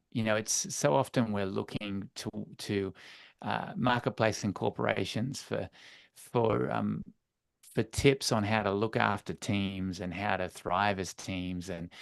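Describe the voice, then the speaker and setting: Fairly slow speech from a man with a fairly low pitch and an Australian accent, ordinary pitch variation, and a quiet background. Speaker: church leadership coach. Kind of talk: webinar interview.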